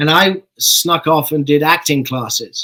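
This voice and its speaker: In an English accent, a man speaks at a fairly high pitch with fairly even intonation, in a dry, close recording without echo. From born in London, grew up in Saskatchewan, Canada. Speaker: actor. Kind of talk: interview. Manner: halting, many fillers.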